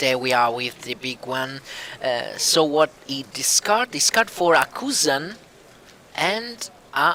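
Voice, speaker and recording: A very slow voice with an Italian accent swings very widely in pitch. The sound is dry and close with no echo, over noticeable background noise. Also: man, fairly high pitch for a man. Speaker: card game commentator. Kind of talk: live commentary. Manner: halting.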